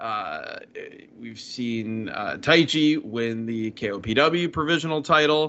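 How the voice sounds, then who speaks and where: Very slowly, a man with a fairly high voice talks with ordinary pitch variation and big swings in loudness. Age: 40s. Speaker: podcast co-host. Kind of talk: casual chat.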